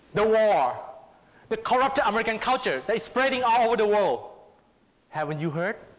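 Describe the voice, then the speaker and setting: With a Thai accent, a man talks at a fairly quick pace and a high pitch, his intonation lively, leaving long, frequent pauses. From Thailand. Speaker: public speaking contestant. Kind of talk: prepared speech.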